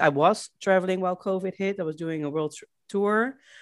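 A woman with a Dutch accent talks at a moderate pace and medium pitch, with ordinary pitch variation. The recording is very clean, with a silent background. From Netherlands, Rotterdam. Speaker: remote-working traveler. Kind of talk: interview, casual chat. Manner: hesitant, many fillers.

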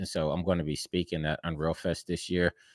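A man with an American accent speaks at a moderate pace, his pitch very deep and low. The recording is very clean with a silent background and a dry, close sound with no echo. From Pittsburgh, US. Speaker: motion graphics and game engine artist. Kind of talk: casual interview. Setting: live-streamed podcast.

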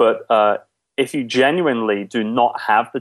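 A man with an English accent speaks with ordinary pitch variation against a quiet background. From England, London. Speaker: outsourcing business owner. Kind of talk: interview. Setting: Skype call.

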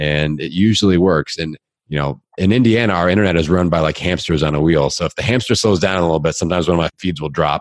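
This man has a very deep, low pitch and an American accent, with ordinary pitch variation. He speaks at a very fast pace in an energetic, animated tone with hardly any pauses. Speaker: fitness podcaster and coach. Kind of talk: casual interview chat.

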